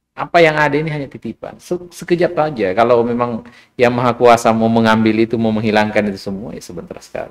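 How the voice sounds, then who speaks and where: A man with a medium pitch talks very fast with hardly any pauses. His intonation is lively and his loudness swings widely. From South Sulawesi, Indonesia (Bulukumba). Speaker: business founder. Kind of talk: podcast interview.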